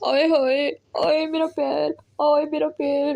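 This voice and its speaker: A woman talks in a put-on character voice pitched high. Her pace is fairly slow. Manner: crying out, wailing.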